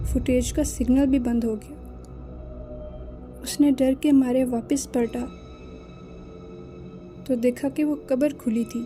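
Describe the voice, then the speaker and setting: A high-pitched woman's voice in a flat monotone, with music in the background. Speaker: storyteller. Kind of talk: horror story narration.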